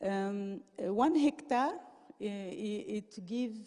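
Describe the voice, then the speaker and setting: Speaking with a non-native accent, a woman uses lively intonation in a dark, mellow tone at a fairly high pitch. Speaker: professor giving a conference talk. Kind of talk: lecture. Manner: halting, many fillers and restarts.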